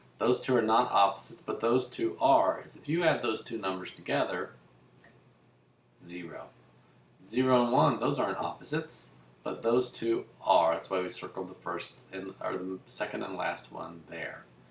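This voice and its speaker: A man talks at a moderate pace, with big swings in loudness. Audible room echo surrounds his voice. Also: medium pitch for a man, lively intonation. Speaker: math teacher. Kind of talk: lecture. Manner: casual.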